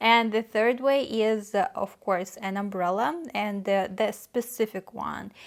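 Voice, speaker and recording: Speaking in a Russian accent, a woman talks at a fairly slow pace with a fairly high pitch and hardly any pauses. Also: ordinary pitch variation. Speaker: vlogger. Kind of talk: casual talk to camera. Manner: hesitant, many fillers.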